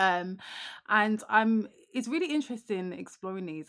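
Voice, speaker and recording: This woman's pitch rises and falls in an ordinary way as she talks at a moderate speed. Nothing can be heard behind her in the very clean recording. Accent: British. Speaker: podcast co-host. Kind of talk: casual chat.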